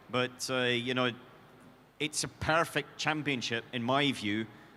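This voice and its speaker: With a Scottish accent and a bright, sharp tone, the speaker moves at a moderate pace. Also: man. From Scotland. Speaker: motorsport team executive. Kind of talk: Q&A on stage. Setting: stage with audience.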